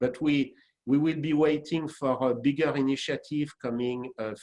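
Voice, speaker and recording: This man speaks with a French accent at a fairly slow pace. His intonation stays fairly even. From France. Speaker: franchise executive. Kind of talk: webinar panel discussion. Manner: halting.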